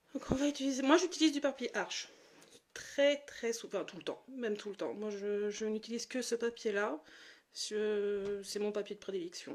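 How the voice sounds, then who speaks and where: The loudness rises and falls sharply at a moderate pace. Pitch moves in an ordinary way. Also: woman, fairly high pitch for a woman. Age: 30s. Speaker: watercolour artist and graphic designer. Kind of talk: tutorial. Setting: live stream. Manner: hesitant, many fillers.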